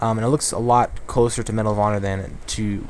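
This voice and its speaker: A man speaks at a medium pitch with fairly even intonation over noticeable background noise. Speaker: gaming youtuber. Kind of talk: live gameplay commentary. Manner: halting, many fillers; distracted while playing.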